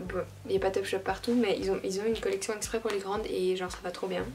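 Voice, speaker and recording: Clearly audible background noise surrounds a woman who talks extremely quickly. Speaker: fashion YouTuber. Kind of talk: casual vlog. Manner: casual, hesitant.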